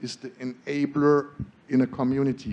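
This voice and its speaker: A man with a German accent and a dark, mellow tone. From Germany. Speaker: solar energy entrepreneur. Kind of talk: panel discussion. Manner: animated.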